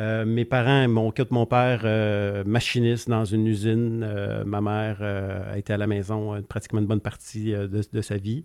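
Very clean recording with a silent background, a man's fairly low, monotone voice with flat intonation at a fairly slow pace. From Quebec, Gaspésie. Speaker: entrepreneur. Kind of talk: casual interview.

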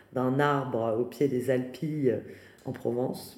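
A woman speaks with a very deep, low pitch and a dark, mellow tone. Her intonation is monotone and flat, with audible room echo. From France, Paris region. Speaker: artist and foundation founder. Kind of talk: interview. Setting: at her new home.

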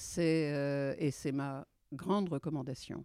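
The voice has a dark, mellow tone and fairly even intonation. The recording is very clean with a silent background, and the sound is dry and close with no echo. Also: woman. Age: 70s. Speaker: entrepreneur and women's rights activist. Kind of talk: interview.

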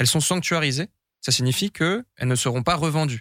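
With a bright, sharp tone, a man speaks fairly quickly and with lively intonation. The sound is dry and close, without echo. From France, Brie east of Paris. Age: 20s. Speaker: investment officer for ecological transition projects. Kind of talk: podcast monologue.

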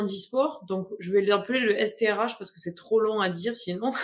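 Speaking at a moderate pace, a woman has an unremarkable speaking voice with ordinary pitch variation. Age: 20s. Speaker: adapted physical activity coach. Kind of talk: interview.

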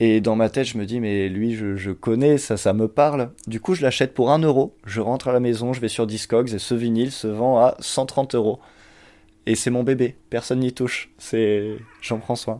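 A man's ordinary speaking voice at a medium pitch and moderate pace with fairly even intonation, on a very clean recording with a silent background. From Champagne-Ardenne, France. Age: 20s. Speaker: poet and cinema worker. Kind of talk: casual chat. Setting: at home.

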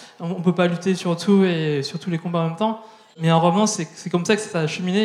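Delivered at a fairly quick pace with fairly even intonation, the speech sits over noticeable background noise. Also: man. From France, southern Brittany. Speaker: activist. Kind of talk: panel discussion. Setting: stage with audience.

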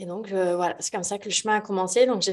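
A woman is speaking. The background is quiet. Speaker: yoga teacher. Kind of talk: casual chat. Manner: animated.

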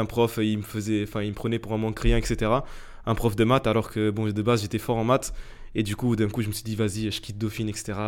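With monotone, flat intonation, a man talks at a fairly quick pace in a fairly low voice on a very clean recording with a silent background. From Portugal, moved to France as a teen. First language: Portuguese (speaking French). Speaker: entrepreneur, media company CEO. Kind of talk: casual interview chat.

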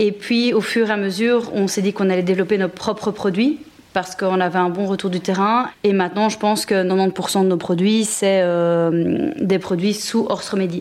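Medium-pitched woman's voice with fairly even intonation, very even loudness and noticeable background noise. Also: moderate pace. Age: 30s. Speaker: entrepreneur. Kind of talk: interview.

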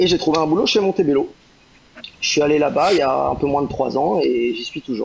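A man talks fairly fast while noticeable background noise carries on. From Brittany, France (Rennes). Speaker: rum distillery brand ambassador. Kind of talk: podcast interview. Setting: live online broadcast.

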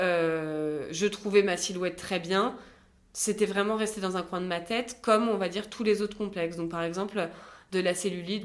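A woman speaks at a moderate pace in a normal speaking voice. Her pitch is medium and her intonation fairly even. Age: 20s. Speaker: business school student, cosmetic surgery patient. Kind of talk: testimony.

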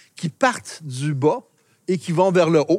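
A man talks with ordinary pitch variation. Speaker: local historian. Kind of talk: guided walking tour explanation. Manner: hesitant, many euh fillers.

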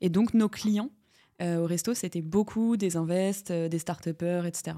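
This woman's voice sits fairly low in pitch, with ordinary pitch variation. The recording is very clean, with a silent background. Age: 20s. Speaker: entrepreneur. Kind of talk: interview. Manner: casual, hesitant.

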